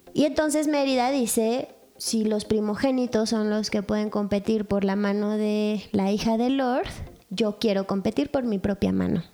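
Over noticeable background noise, a woman with a Mexican accent speaks at a fairly slow pace in a fairly high voice with ordinary pitch variation. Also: very even loudness. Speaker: podcast co-host. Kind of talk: casual chat. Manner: animated, laughing often.

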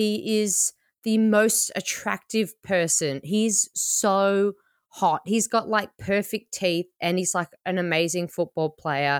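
A woman in an Australian accent, with medium pitch, very even loudness, a very slow pace, ordinary pitch variation and a dry, close sound with no echo. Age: 30s. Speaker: podcast host and comedian. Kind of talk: casual chat.

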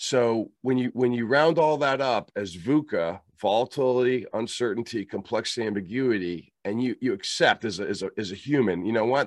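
A man's unremarkable speaking voice at medium pitch and a fairly quick pace, with ordinary pitch variation and a dry, close sound with no echo against a quiet background. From US, moved around (Kentucky, Germany, Pittsburgh). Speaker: leadership trainer, former Marine officer. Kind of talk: interview.

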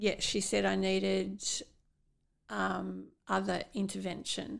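A woman's very slow speech in an Australian accent. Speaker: podcast host and brain aneurysm survivor. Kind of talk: interview, conversational. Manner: slow, halting, with memory lapses.

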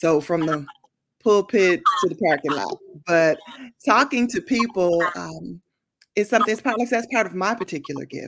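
A woman's bright, sharp tone, fairly low in pitch, with ordinary pitch variation at a moderate pace on a very clean recording with a silent background. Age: 50s. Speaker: minister and consultant. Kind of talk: interview.

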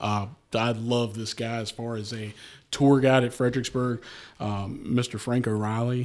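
In a Shenandoah Valley accent, a man speaks in a flat monotone at medium pitch, on a very clean recording with a silent background. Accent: Shenandoah Valley (Virginia). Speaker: history guest, Civil War travel content creator. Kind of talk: casual chat about history and bourbon.

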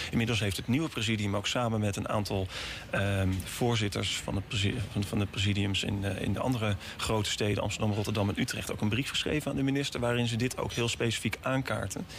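A man talks at a very fast pace, his pitch fairly low and his intonation fairly even. Noticeable background noise is present. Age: 30s. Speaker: city councillor. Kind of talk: radio interview. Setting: studio. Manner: halting.

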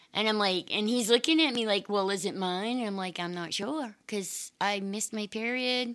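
A woman with an unremarkable speaking voice and an American accent, fairly high in pitch with ordinary pitch variation, at a moderate pace with hardly any pauses. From Maine, US. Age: 50s. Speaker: interview guest sharing life story. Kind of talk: casual interview chat.

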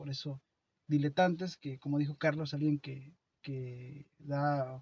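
A man's somewhat breathy, fairly high voice in a monotone, flat delivery, with a dry, close sound and no echo. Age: 30s. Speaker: podcast co-host. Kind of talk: casual chat. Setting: at a friend's home. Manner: halting.

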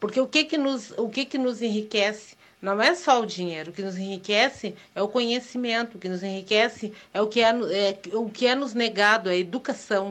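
Here is a woman with a plain, everyday voice. Her pitch is fairly high, with ordinary variation, at a moderate pace. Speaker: listener sending voice message. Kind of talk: voice message.

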